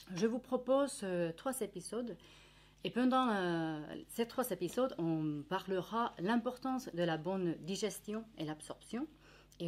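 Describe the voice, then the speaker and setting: A woman speaks at a medium pitch and a fairly slow pace, her pitch swinging very widely. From Finland. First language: Finnish (speaking French). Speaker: nutritionist. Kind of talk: educational presentation. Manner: hesitant, many fillers.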